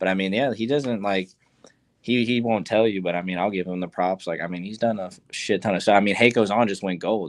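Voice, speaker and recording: A quiet man with fairly low pitch talks at a fairly quick pace with fairly even intonation. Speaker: musician and producer. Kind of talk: interview. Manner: quiet, low-key.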